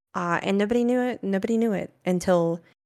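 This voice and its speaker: With a Southern US accent, a woman talks at a moderate pace. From US South, rural north Florida. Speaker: streamer. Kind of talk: casual chat.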